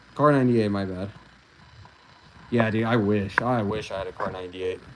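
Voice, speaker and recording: Against noticeable background noise, a man talks with a fairly low pitch and fairly even intonation. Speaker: gun channel streamer. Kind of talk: casual livestream chat. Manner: quiet.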